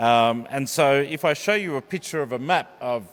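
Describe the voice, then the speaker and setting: A man with an Australian accent speaks at a very slow pace, his fairly high voice showing lively intonation. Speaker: preacher giving a sermon. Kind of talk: church sermon to a congregation. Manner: conversational, explanatory, with hesitations.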